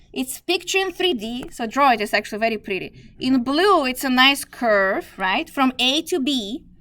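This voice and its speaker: With a non-native accent, a woman speaks at a high pitch that swings very widely. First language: not English. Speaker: math teacher. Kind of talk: lecture. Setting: classroom.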